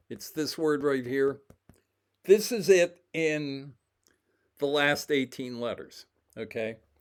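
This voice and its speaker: A fairly high-pitched man at a very slow pace, with ordinary pitch variation, big swings in loudness, and long, frequent pauses. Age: 70s. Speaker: independent codebreaker / video creator. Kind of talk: casual explanatory walk-through. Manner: halting, many fillers and restarts.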